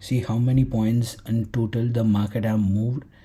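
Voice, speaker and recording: With a Tamil accent, a man speaks at a moderate pace. His voice is somewhat breathy, with monotone, flat intonation. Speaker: forex trading teacher. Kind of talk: tutorial. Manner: halting.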